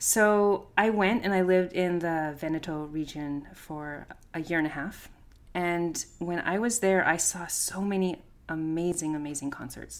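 An ordinary speaking voice with a Canadian accent, at a fairly slow pace with ordinary pitch variation. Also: woman, fairly low pitch for a woman. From Canada, small town, Italian immigrant parents. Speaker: pianist and chamber music coach. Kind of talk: interview. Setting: video call.

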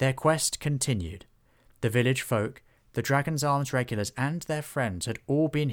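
The voice is a natural reading voice. It is heard on its own.

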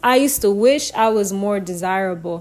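A woman speaks in a normal speaking voice at a fairly slow pace. Her pitch variation is ordinary. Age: 20s. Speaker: podcaster. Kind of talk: personal monologue.

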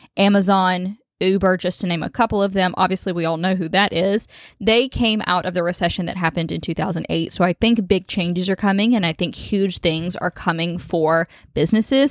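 A woman with an animated tone speaks at a moderate pace in a dry, close sound with no echo, on a very clean recording with a silent background. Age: 20s. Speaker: podcast host and boutique owner. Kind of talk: casual monologue.

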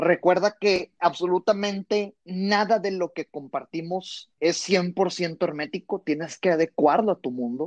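Heard with a dry, close sound and no echo, a man speaks at a fairly slow pace with a high pitch and ordinary pitch variation. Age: 20s. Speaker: sales trainer. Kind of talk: interview.

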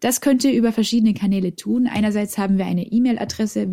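A woman speaks at a fairly high pitch with ordinary pitch variation. Her voice has a dark, mellow tone and is somewhat breathy. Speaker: science podcast co-host. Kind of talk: casual educational chat. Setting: remote recording over internet.

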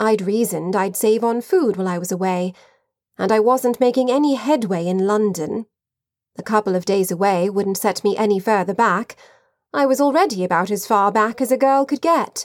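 At a moderate pace, a woman with an unremarkable speaking voice talks in a fairly high pitch that varies in an ordinary way. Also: very clean recording, silent background. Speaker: audiobook narrator. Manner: measured, expressive, period-flavored delivery, shifting voices for characters.

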